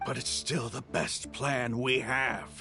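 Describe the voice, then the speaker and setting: Clear music plays behind a raspy, put-on character voice at a low-to-middle pitch and a fairly slow pace. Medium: machinima. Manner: direct, forceful.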